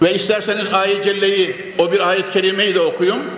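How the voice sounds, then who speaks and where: With an animated tone and a high pitch, a man talks amid audible room echo and noticeable background noise. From Turkey, Konya. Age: 70s. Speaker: preacher. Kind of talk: sermon. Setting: mosque with large congregation. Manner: emphatic, animated.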